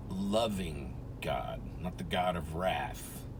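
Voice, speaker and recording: Audible room echo fills the recording. The man's voice shows ordinary pitch variation. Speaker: religious video preacher. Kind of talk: informal religious monologue. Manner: soft-spoken; slow.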